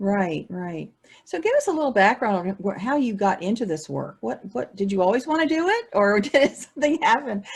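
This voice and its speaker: Somewhat breathy, the voice moves at a moderate pace through very wide pitch swings. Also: woman, fairly high pitch for a woman. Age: 60s. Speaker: online show host. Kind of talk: interview.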